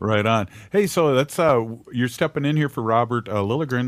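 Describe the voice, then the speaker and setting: A man with a Minnesotan accent at a medium pitch and fairly quick pace, with ordinary pitch variation, on a very clean, dry, close recording with no echo and a silent background. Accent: Minnesota. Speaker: radio host. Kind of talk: casual radio chat. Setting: radio studio.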